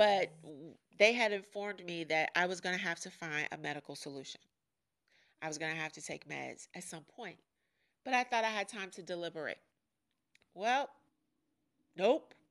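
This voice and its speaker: Speaking at a moderate pace, a woman with a fairly low pitch sounds animated, with lively intonation and big swings in loudness. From US Midwest (Chicago). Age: 40s. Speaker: podcast host. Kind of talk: personal monologue.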